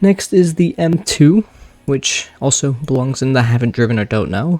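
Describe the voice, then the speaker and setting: A quiet voice at a moderate pace on a very clean recording with a silent background. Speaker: Roblox gaming YouTuber. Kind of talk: casual gaming commentary.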